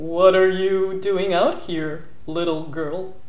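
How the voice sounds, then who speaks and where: This man puts on a character voice pitched high. He speaks very slowly. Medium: read story. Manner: sly, mock-sweet.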